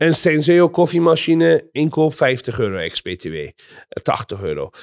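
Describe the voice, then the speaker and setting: The man talks at a very slow pace. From Iran. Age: 40s. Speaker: entrepreneur. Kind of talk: interview. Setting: at home. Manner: halting.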